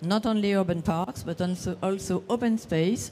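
In a French accent, the voice has a dark, mellow tone, ordinary pitch variation and a moderate pace. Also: woman. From France. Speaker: session moderator, parks association representative. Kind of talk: conference presentation. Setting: conference session with audience. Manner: halting.

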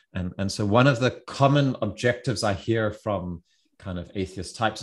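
The speaker talks at a moderate pace with ordinary pitch variation against a quiet background. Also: man. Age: 40s. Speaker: podcast host. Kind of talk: casual chat. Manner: halting, many repetitions.

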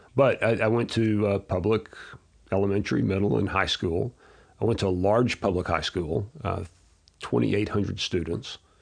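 A man with an American accent speaks at a moderate pace in a fairly low voice with vocal fry. His loudness stays very even, his pitch varies in an ordinary way, and the background is quiet. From Texas (Abilene). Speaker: educator and entrepreneur. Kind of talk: interview.

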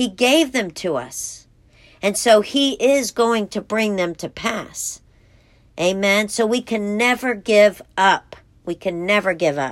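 A woman's medium-pitched voice with lively intonation at a very slow pace, in a very clean recording with a silent background. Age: 40s. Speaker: women's devotional podcast host. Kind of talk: devotional teaching.

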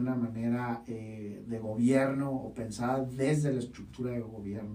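A man speaks at a medium pitch with fairly even intonation, and some room echo can be heard. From Baja California, Mexico. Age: 30s. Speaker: podcast host and university rector. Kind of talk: podcast monologue.

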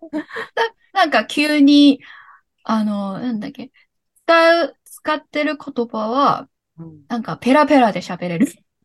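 With a Cantonese accent, a woman speaks at a very slow pace and a high pitch, using very wide pitch swings and big swings in loudness, in a dry, close sound with no echo. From Hong Kong. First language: Cantonese (speaking Japanese). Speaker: podcast guest, former sharehouse mate. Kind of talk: casual chat.

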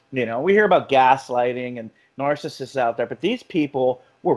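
A man with an American accent speaks in a normal speaking voice at a moderate pace, his intonation lively. The recording is very clean, with a silent background. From South Florida. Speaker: podcast host, mental health worker. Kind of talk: casual chat.

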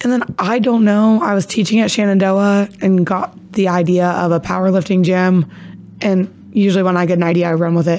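With an American accent, a woman with a normal speaking voice talks at a fairly quick pace and medium pitch, keeping fairly even intonation and very even loudness. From Ohio (Caldwell). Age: 20s. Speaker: gym owner, fitness instructor. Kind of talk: casual interview chat.

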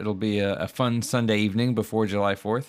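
In a plain, everyday voice, a man speaks at a moderate pace and fairly low pitch on a very clean recording with a silent background. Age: 30s. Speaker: podcast host and musician. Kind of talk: casual chat; podcast intro announcements.

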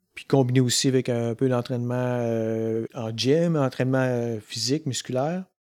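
Speaking with a Quebec accent, the voice moves at a fairly slow pace with fairly even intonation. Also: man, medium pitch for a man, hardly any pauses. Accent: Québécois French. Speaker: podcast host. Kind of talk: casual interview. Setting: in person in Quebec.

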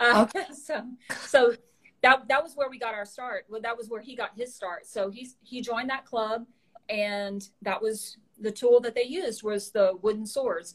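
A woman with a Southern US accent speaks at a moderate pace and a fairly high pitch. Her pitch varies in an ordinary way, while her loudness swings widely. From rural Louisiana, US South. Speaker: martial arts equipment business owner. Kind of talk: casual interview.

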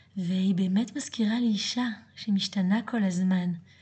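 Somewhat breathy speech comes at a fairly slow pace with fairly even intonation. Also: woman. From France. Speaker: yoga teacher and podcast host. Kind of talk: monologue.

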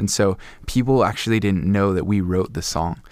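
A man speaks in a normal speaking voice at a moderate pace. His pitch sits fairly low. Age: 20s. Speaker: worship leader. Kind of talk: casual interview chat.

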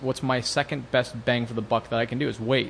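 Talking very fast with an American accent, a man keeps a medium pitch and fairly even intonation. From US Pacific Northwest, Seattle area. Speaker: Porsche tuning shop owner. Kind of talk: casual interview.

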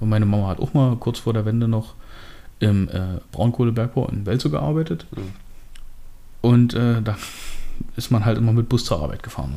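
Fairly quick speech from a man at medium pitch, with ordinary pitch variation and noticeable background noise. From eastern Germany, Hoyerswerda (Lausitz, Saxony). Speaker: podcast co-host. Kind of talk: casual chat.

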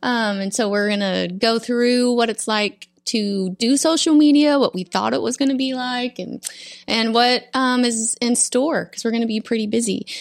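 A woman with an American accent speaks in a normal speaking voice at a moderate pace with hardly any pauses, her fairly high pitch showing ordinary variation over a very clean recording and silent background. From Florida Panhandle. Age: 40s. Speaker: podcast host, social media team member. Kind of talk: casual chat. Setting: studio.

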